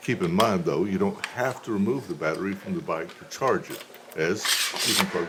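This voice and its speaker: Against noticeable background noise, a man with a fairly low pitch talks at a fairly quick pace with very wide pitch swings. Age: 60s. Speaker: product reviewer. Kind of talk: product review narration. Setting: outdoors riding a bike.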